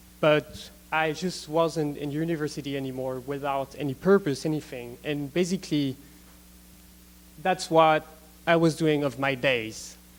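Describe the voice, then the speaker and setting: A man with a non-native accent and fairly even intonation. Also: fairly high pitch for a man, moderate pace. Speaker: gap year student. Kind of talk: student presentation. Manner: halting, many fillers.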